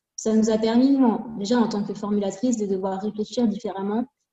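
A woman's fairly high voice holds a monotone, flat intonation at a moderate pace. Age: 20s. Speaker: cosmetics formulator and brand co-founder. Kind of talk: interview.

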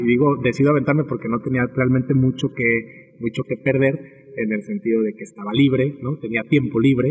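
A moderate pace over noticeable background noise. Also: man. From Mexico, Tepic, Nayarit. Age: young. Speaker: bar owner and entrepreneur, psychologist. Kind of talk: interview, casual chat. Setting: bar with background music.

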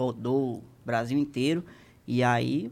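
A man talks on a very clean recording against a silent background. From Maranhão, Brazil. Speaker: comedy content creator. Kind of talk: casual chat. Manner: fast.

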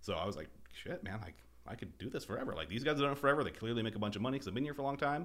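Very fast, lively intonation laced with vocal fry. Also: man, medium pitch for a man. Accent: American. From Boise, Idaho (US). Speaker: landscape architecture firm co-owner, salesperson. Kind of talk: casual interview chat. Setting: studio. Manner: animated.

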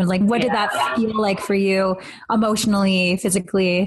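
Using a normal speaking voice, a woman talks fairly quickly at a medium pitch with fairly even intonation. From Canada. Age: 30s. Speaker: podcast host. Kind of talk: casual chat.

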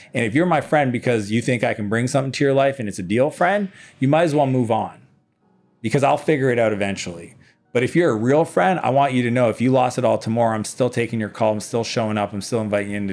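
A man's medium-pitched voice at a very fast pace, with lively intonation over music in the background. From Eastern Canada. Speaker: entrepreneur and business coach. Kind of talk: casual interview chat. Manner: animated.

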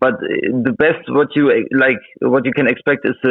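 A man is speaking. He has a Russian accent. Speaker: crypto trader. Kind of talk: casual interview. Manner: halting.

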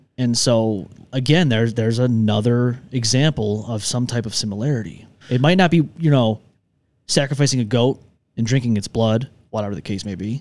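With a Western New York accent, a man speaks at medium pitch and a moderate pace, using ordinary pitch variation. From Upstate New York (Rochester). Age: 30s. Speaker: podcast host. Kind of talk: casual chat. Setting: studio.

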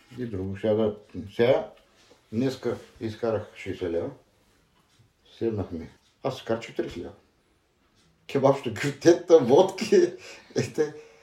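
A man at medium pitch speaks fairly slowly in a dark, mellow, somewhat breathy tone, with long, frequent pauses. His pitch swings very widely and his loudness shifts a great deal. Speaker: former thief, interviewee. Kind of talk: interview.

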